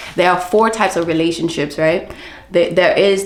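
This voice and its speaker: Music plays behind a woman speaking at a moderate pace in a fairly low voice with ordinary pitch variation. The room echo is audible. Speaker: book vlogger. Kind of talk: casual book review vlog. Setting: at home.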